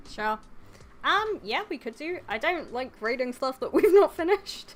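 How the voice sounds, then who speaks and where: A woman speaks quietly at a moderate pace and a high pitch, with very wide pitch swings and big swings in loudness. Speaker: anime YouTuber. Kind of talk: casual chat. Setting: live stream. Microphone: too quiet, told to get closer to mic.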